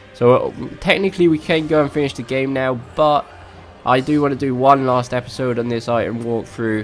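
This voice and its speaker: Music plays in the background as a man talks at a fairly quick pace. His medium-pitched voice has ordinary pitch variation. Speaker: gaming YouTuber. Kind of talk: video game walkthrough commentary. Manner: hesitant, filler words.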